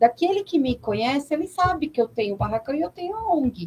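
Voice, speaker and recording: A woman at a moderate pace. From São Paulo, Brazil. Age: 40s. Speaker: NGO president and religious leader. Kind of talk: radio interview.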